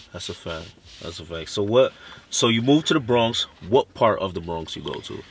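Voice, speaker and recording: Speaking with a Haitian accent, a man uses lively intonation at a fairly quick pace. His loudness rises and falls in big swings. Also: medium pitch for a man. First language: Haitian Creole. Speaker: interviewer. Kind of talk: casual interview.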